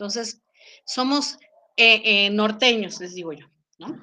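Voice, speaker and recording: A woman's voice comes through with a bright, sharp tone. The background is quiet. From Mexico. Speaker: psychologist and English teacher. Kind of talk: panel discussion.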